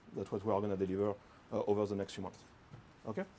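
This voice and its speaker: A man with a French accent. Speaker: product manager presenting. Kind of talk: technical presentation with Q&A. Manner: hesitant, many fillers.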